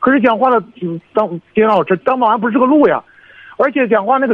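Speaking fairly quickly, a man uses an extremely high pitch and lively intonation. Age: 20s. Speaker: caller, security guard. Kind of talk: phone call-in. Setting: phone call. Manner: halting, rambling.

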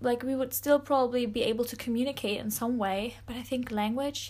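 With a German accent, a woman speaks at a fairly slow pace. Her pitch is high. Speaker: podcast host. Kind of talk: casual monologue. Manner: animated.

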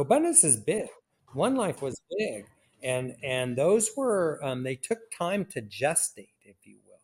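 A man with an American accent and fairly high pitch speaks at a fairly slow pace, with very wide pitch swings and big swings in loudness. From US West Coast, Oakland, California. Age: 60s. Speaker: retired real estate investor and coach. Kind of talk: casual interview. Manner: halting, with many fillers and repetitions.

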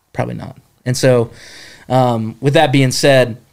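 A man with an American accent, talking at a moderate pace. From North Carolina mountains (Jefferson). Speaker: camp staff member. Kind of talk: casual interview testimony.

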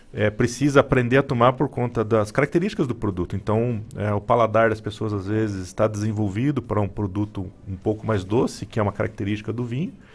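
A man talks at a fairly quick pace in a fairly low pitch with fairly even intonation, music playing in the background. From Paraná, Brazil. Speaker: wine businessman. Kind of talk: radio interview.

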